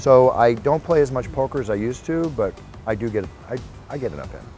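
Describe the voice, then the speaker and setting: Over music in the background, a man with an American accent speaks at medium pitch with lively intonation. His tone is energetic and enthusiastic. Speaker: combat sports ring announcer. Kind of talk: interview answer. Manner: energetic, enthusiastic.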